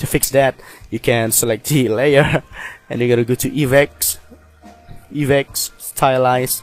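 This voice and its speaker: Against music in the background, a man speaks at a medium pitch and a fairly slow pace with long, frequent pauses and monotone, flat intonation, the sound dry and close with no echo. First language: not English. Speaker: video editing tutorial maker. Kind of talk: tutorial.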